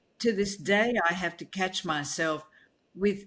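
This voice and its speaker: On a very clean recording with a silent background, a woman with a fairly low voice speaks at a moderate pace. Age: 70s. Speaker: keynote speaker and author. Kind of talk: interview conversation.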